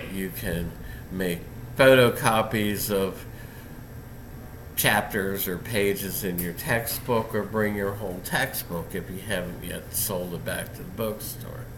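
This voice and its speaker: In a room with audible echo, a man with a fairly low pitch talks at a fairly slow pace. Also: ordinary pitch variation. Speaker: philosophy professor. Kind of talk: lecture. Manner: halting.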